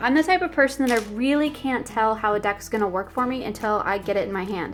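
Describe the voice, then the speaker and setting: Fairly quick speech from a woman with ordinary pitch variation, music in the background. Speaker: tarot content creator. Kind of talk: casual flip-through video chat. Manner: fast; enthusiastic.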